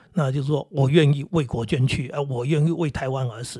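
With a Taiwanese accent, the voice sounds somewhat breathy, with a dark, mellow tone and ordinary pitch variation. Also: man. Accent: Taiwanese Mandarin. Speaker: podcast host. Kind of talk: casual monologue. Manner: many hesitations and fillers; calm.

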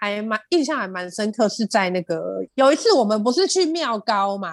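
Animated in tone, a woman speaks at a fairly quick pace with a fairly high pitch and very wide pitch swings. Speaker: podcast co-host, cafe owner. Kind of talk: casual chat.

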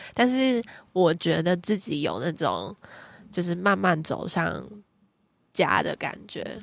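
A woman speaks at a very slow pace with long, frequent pauses. The recording is very clean, with a silent background. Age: 20s. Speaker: psychology graduate student. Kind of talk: casual chat.

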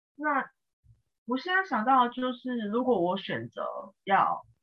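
Speaking at a very slow pace, a woman uses very wide pitch swings. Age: 20s. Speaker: freelancer. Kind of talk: casual advice conversation. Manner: halting, many fillers.

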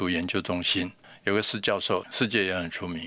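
On a very clean recording with a silent background, a man talks at a moderate pace in a bright, sharp tone. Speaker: algae researcher, company founder. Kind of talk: interview.

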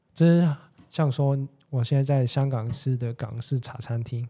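Somewhat breathy with a dark, mellow tone, a man speaks in a Cantonese accent with fairly even intonation. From Hong Kong. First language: Cantonese (speaking Chinese). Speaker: podcast guest. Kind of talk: casual chat.

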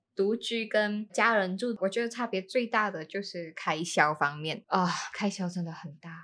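A woman with a normal speaking voice talks at a moderate pace with ordinary pitch variation and big swings in loudness, recorded very cleanly against a silent background. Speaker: podcast host. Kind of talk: casual chat. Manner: soft-spoken. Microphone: new microphone.

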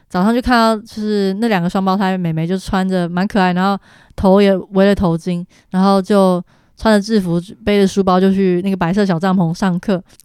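A woman at medium pitch talks at a fairly quick pace with monotone, flat intonation in a very clean recording with a silent background. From Taiwan. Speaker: travel planner. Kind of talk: casual interview about travel.

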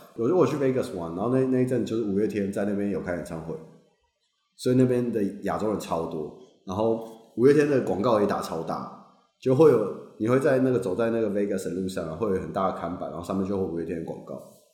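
With a Taiwanese accent, a man speaks at a very fast pace and a fairly low pitch, his intonation lively amid audible room echo. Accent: Taiwanese Mandarin. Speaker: graduate student. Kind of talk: casual chat.

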